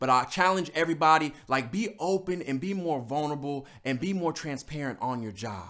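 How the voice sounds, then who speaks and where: A man's fairly high, bright and sharp voice, animated in tone, with lively intonation, a fairly quick pace, hardly any pauses, and a very clean recording against a silent background. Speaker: motivational speaker. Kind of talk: motivational talk.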